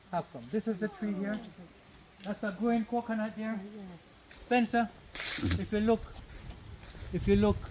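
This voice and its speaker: This man's voice sits high in pitch and moves at a moderate pace. Long pauses come often, over noticeable background noise. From Jamaica, Annotto Bay, St Mary. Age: 60s. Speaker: tour guide. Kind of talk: guided tour talk. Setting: outdoors on a plantation. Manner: animated.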